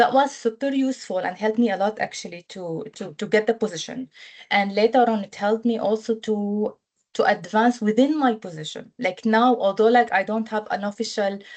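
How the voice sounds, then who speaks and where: A woman with an Arabic accent talks at a fairly quick pace with a fairly high pitch. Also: ordinary pitch variation. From Syria. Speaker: humanitarian protection officer, alumna. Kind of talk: webinar testimony. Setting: online webinar. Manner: hesitant, many fillers and repetitions.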